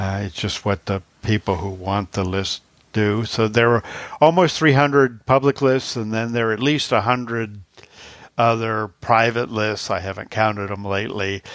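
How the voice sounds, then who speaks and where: Here a man has a normal speaking voice, fairly low in pitch with ordinary pitch variation, at a moderate pace. The recording is very clean, with a silent background. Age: 60s. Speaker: blindness agency technology worker, former radio writer. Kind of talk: casual interview.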